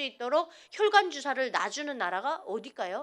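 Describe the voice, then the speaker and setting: The speaker is a woman. Her voice is high-pitched. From North Korea. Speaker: North Korean defector giving testimony. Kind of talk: testimony. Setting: church service with audience.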